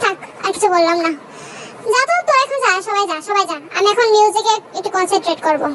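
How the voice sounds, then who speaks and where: Over loud background noise, a woman in a put-on character voice speaks very fast at an extremely high pitch. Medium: fan dub.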